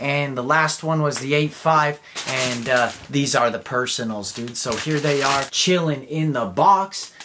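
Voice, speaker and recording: Against noticeable background noise, a man with an American accent talks at a fairly slow pace with hardly any pauses, using a fairly high pitch and ordinary pitch variation. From Southern California (Inland Empire, Chino); California. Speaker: sneaker YouTuber. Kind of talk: casual product review. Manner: animated. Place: home room.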